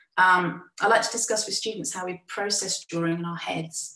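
A woman is heard against a quiet background. There is audible room echo. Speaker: artist and drawing teacher; drawing teacher. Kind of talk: slide presentation. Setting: video call. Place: home room. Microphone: video call.

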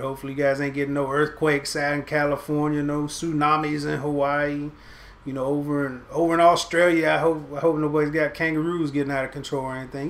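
Against noticeable background noise, a man talks at a fairly high pitch and fairly quick pace with fairly even intonation. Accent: Southern US. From Tennessee. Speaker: gaming video commentator. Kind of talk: informal, colloquial. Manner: casual, laid-back, frequent filler phrases.

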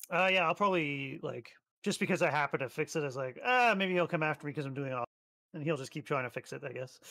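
A man with a fairly high pitch, at a very fast pace. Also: ordinary pitch variation. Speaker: tabletop RPG player. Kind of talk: tabletop roleplaying game session. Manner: animated.

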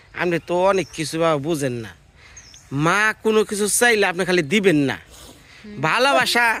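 Over noticeable background noise, a man speaks with a high pitch and lively intonation. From Bangladesh, Tangail (Mirzapur). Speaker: village life vlogger. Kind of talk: casual vlog chat.

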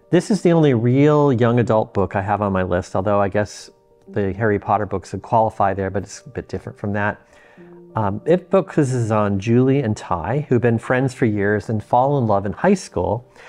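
With faint music in the background, a man speaks with ordinary pitch variation. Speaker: book collector reviewer. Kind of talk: casual vlog chat. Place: home room.

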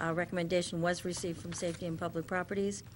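A woman speaks with an American accent. There is light background noise. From US Midwest. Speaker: council clerk. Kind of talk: reading aloud. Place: hall.

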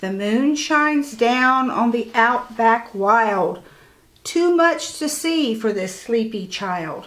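A woman speaks in a sing-song way, with a gentle, soothing tone and lively intonation. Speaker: church storyteller. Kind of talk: bedtime story reading aloud to children, rhyming picture book. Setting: video recording for church channel. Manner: gentle, slow, soothing sing-song cadence; warm and playful, lightly animated. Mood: gentle, expressive. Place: home room. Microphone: lapel.

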